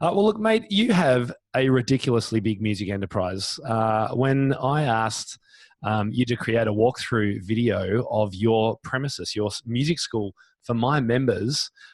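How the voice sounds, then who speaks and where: Against a quiet background, a man with an Australian accent talks at a moderate pace, with medium pitch and ordinary pitch variation. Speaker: podcast host. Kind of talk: interview. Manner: animated.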